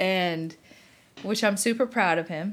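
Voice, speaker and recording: A very slow pace on a very clean recording with a silent background. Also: woman. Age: 40s. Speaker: podcast co-host. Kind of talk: casual chat. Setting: bedroom at home. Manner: animated.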